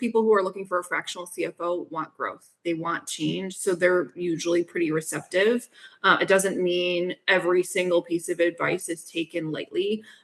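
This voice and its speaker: A woman with an American accent speaks at a moderate pace in a medium pitch. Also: ordinary pitch variation, hardly any pauses. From US Northeast. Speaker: fractional CFO. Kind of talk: podcast interview. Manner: direct, assertive.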